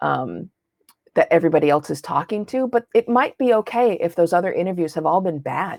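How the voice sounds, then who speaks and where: A woman talks at a fairly quick pace with lively intonation, the sound dry and close with no echo. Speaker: interviewing instructor. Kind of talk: online lecture. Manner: fast; animated.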